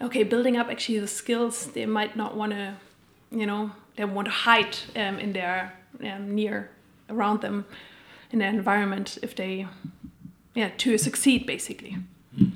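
Against noticeable background noise, a woman with a German accent speaks with fairly even intonation and long, frequent pauses. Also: medium pitch for a woman, moderate pace. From Germany. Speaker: coach and keynote speaker. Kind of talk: casual interview.

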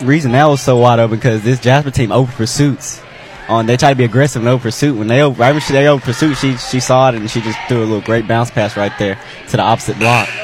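A man delivers his words very fast, with his pitch at a medium level and his intonation fairly even. Clear background noise runs under his speech. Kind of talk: color commentary alongside the play-by-play, with brief reactions.

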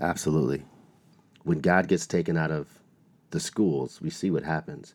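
Vocal fry runs through a man's very deep, low voice at a moderate pace. The background is silent, and the recording is very clean. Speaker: school speaker and performer. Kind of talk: interview.

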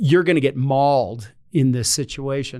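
Recorded very cleanly against a silent background, a man with an ordinary speaking voice and an American accent speaks at a fairly high pitch with ordinary pitch variation. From North Carolina. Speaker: retired air force general. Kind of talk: interview.

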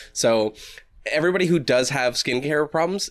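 A man with an ordinary speaking voice talks at a fairly quick pace using lively intonation. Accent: American. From Massachusetts. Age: 30s. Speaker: podcast co-host and poet. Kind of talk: casual chat. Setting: video call.

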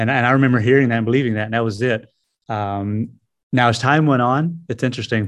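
This man has a Southern US accent and a fairly quick pace. His intonation stays fairly even. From US South, South Carolina (Greenville). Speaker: missionary, former prisoner. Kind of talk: testimony.

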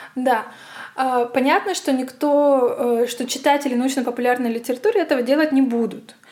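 A woman with a high pitch speaks in a Russian accent. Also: ordinary pitch variation, moderate pace. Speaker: physicist and science writer. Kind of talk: casual interview chat.

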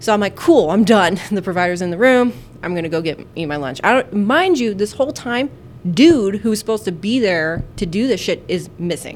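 Noticeable background noise behind a woman at a moderate pace, medium in pitch, with lively intonation. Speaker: nurse podcast host. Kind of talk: casual chat.

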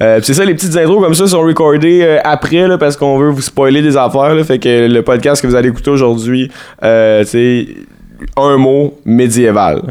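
A man speaks with a Quebec accent at a moderate pace, his pitch fairly high and his tone relaxed. His loudness stays very even throughout. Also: ordinary pitch variation. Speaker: podcast host. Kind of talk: casual banter, joking chat. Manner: relaxed, joking, laughing.

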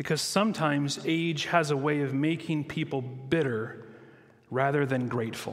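Audible room echo surrounds a man with a fairly high pitch who speaks at a moderate pace. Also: ordinary pitch variation. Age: 40s. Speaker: pastor. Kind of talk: sermon.

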